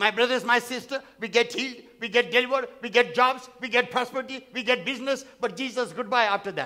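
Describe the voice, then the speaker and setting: Over a quiet background, a man uses a raised, projected voice with an extremely high pitch. His tone is animated, bright and sharp, at a moderate pace. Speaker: pastor. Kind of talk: sermon. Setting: church. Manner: animated, repetitive, call-and-response preaching; emphatic, repeating phrases for effect. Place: church. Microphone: headset.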